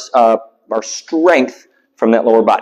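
There is little sound behind this man as he speaks, his pitch shifting by ordinary amounts. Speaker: fitness coach. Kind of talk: tutorial. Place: gym.

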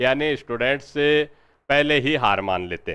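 With little noise around him, a man's voice comes across bright and sharp, its pitch rising and falling in a normal way. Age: 40s. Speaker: history teacher and exam coach; history teacher, exam coach. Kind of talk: lecture. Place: classroom. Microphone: lapel.

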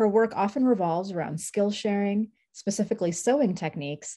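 Over a quiet background, a woman talks at a fairly quick pace in a dark, mellow tone with ordinary pitch variation. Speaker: event host. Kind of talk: introducing speakers. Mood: warm, smiling. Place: home room. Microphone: webcam.

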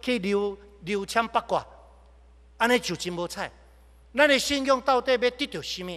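Against a quiet background, a man with an extremely high pitch and a bright, sharp tone speaks at a moderate pace with ordinary pitch variation and long, frequent pauses. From Taiwan. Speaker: pastor. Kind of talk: sermon. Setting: church. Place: church. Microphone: podium.

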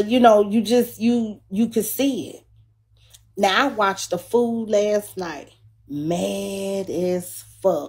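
A woman talks very slowly with quiet behind her. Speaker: livestream host. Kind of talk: casual livestream commentary. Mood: relaxed but dismissive. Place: home room. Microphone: phone near.

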